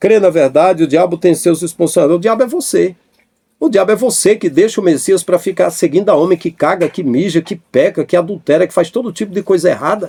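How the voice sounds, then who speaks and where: A man's high voice with a dark, mellow tone, ordinary pitch variation and a fairly quick pace, in a dry, close sound with no echo. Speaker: evangelical pastor, YouTuber. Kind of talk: heated rant, commentary on viewer comments. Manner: animated.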